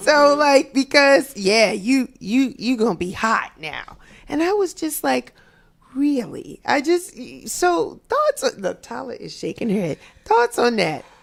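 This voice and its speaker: Pitched high, a woman speaks at a fairly slow pace, her pitch swinging very widely. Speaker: radio talk show host. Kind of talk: radio talk show discussion.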